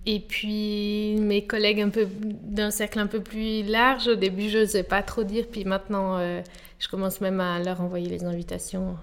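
Her intonation is monotone and flat. This woman speaks at a moderate pace and a medium pitch. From Switzerland, Geneva. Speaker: artist and designer. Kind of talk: interview. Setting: artist's studio.

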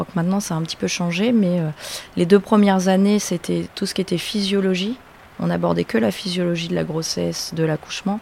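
A woman talks at a fairly quick pace in a fairly low pitch, her intonation fairly even. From Normandy, France. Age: 30s. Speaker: dentist, former midwife. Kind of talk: interview. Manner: hesitant, many fillers.

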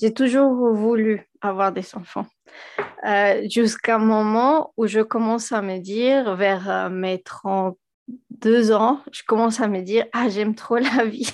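With a Spanish accent, a woman talks very slowly at a fairly high pitch and with fairly even intonation. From Venezuela. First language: Spanish (speaking French). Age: 30s. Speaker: physicist and engineer, mother. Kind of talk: podcast interview. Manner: hesitant, many fillers and repetitions.

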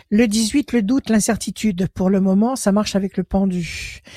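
Somewhat breathy and at a medium pitch, a woman speaks at a very slow pace with a dry, close sound and no echo. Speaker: tarot reader. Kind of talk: phone-in tarot reading.

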